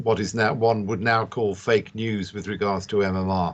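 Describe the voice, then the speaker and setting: Against a quiet background, someone with a British accent speaks at a fairly slow pace. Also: man. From UK. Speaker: industry panelist. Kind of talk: panel discussion.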